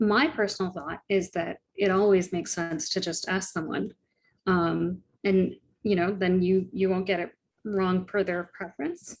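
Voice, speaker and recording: On a very clean recording with a silent background, a woman speaks at a medium pitch. She talks at a fairly slow pace with fairly even intonation. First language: Tamil. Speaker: tax lawyer. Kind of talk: interview conversation.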